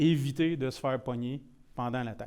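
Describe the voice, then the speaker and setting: Speaking with a rural Quebec accent, a man uses a medium pitch, a dark, mellow tone and ordinary pitch variation at a moderate pace, in a very clean recording with a silent background. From Quebec, Shawinigan (Mauricie). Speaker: IT security presenter. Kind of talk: technical presentation. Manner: casual, mixes in many English words.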